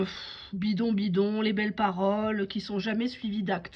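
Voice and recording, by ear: Using a medium pitch, a woman speaks at a fairly slow pace.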